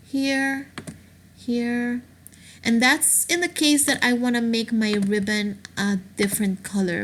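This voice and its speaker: Lively intonation at a fairly slow pace. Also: woman. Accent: non-native. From Aruba. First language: not English. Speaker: craft tutorial maker. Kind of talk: screen-recorded software tutorial.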